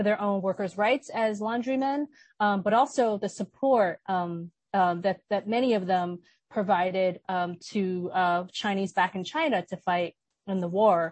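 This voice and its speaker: Here a woman talks in an unremarkable speaking voice with an American accent. Her pitch sits in the medium range and varies in an ordinary way. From New York City, Brooklyn. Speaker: filmmaker and activist. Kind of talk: panel discussion.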